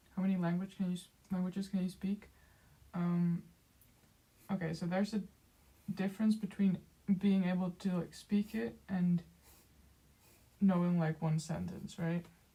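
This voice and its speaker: A woman speaks at a moderate pace in a somewhat breathy, flat monotone, leaving long and frequent pauses. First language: Dutch. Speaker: streamer, artist. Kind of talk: casual chat. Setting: livestream. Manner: halting, many fillers.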